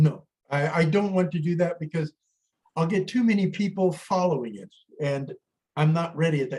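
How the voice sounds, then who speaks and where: At a moderate pace, a man with a high pitch and a dark, mellow tone talks with ordinary pitch variation. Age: 70s. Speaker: astrology teacher. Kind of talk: interview.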